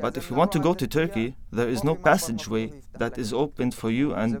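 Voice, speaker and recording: This man talks at a fairly quick pace with medium pitch, in a normal speaking voice. His intonation is lively. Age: 20s. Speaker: displaced Syrian activist. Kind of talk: interview testimony.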